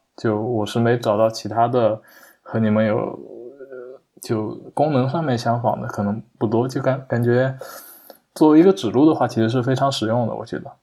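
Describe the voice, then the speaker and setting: Long, frequent pauses break up a man's speech. His pitch is medium, with ordinary pitch variation. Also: moderate pace. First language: a Chinese dialect (speaking Chinese). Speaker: software developer, hobby Japanese learner. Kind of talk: casual interview conversation. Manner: halting, many fillers.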